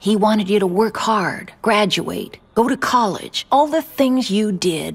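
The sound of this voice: Putting on a character voice, a woman talks at a fairly slow pace with lively intonation, a slightly husky edge and vocal fry. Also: medium pitch for a woman.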